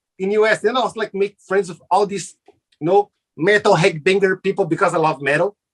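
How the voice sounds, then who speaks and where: A man with a Brazilian accent, high-pitched and fairly quick, fairly even in intonation, with a dry, close sound and no echo. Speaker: TV show host and entertainer. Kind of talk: casual interview chat.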